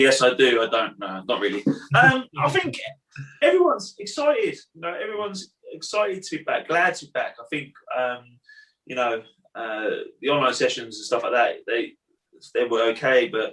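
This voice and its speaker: This man talks at a moderate pace with an English accent, leaving long, frequent pauses while his loudness swings widely. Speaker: karate instructor. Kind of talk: casual chat.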